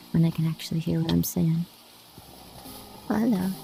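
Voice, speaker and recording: A soft-spoken woman's whispering voice. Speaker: ASMR streamer. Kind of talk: casual gaming ramble. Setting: mixed reality headset at home.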